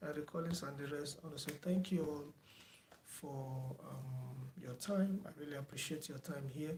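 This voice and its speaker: Somewhat breathy and fairly high in pitch, a man speaks at a moderate pace with fairly even intonation. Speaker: teacher. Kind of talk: online lecture wrap-up, thanking viewers. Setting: online video lecture. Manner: soft-spoken; hesitant, many fillers. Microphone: no microphone, too quiet per viewer.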